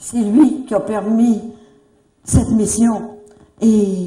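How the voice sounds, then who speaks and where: Amid audible room echo, a woman speaks at medium pitch in a dark, mellow tone that is somewhat breathy. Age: 70s. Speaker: religious retreat leader. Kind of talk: religious talk to a gathering.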